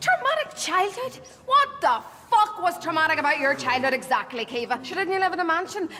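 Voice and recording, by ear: In a put-on character voice, a woman speaks at an extremely high pitch and a fairly quick pace, with big pitch swings, a bright, sharp tone and faint background noise.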